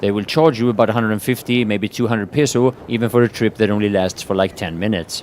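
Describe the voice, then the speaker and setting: A man's pitch varies in an ordinary way while noticeable background noise carries on around him. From Sweden. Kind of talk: travel vlog talk to camera.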